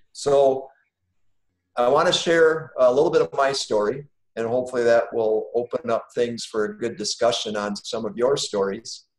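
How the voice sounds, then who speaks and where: Against a quiet background with audible room echo, a man with an American accent speaks at a moderate pace and medium pitch, with ordinary pitch variation. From Wisconsin, US Midwest. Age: 50s. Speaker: business owner and guest speaker; guest. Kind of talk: personal testimony in online class. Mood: calm, reflective. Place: home room. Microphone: video call.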